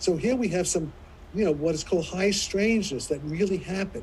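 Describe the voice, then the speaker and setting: Speaking at a fairly quick pace, a man with a high pitch and a dark, mellow tone uses ordinary pitch variation. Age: 80s+. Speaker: physicist. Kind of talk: panel discussion. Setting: live stream. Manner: animated; halting.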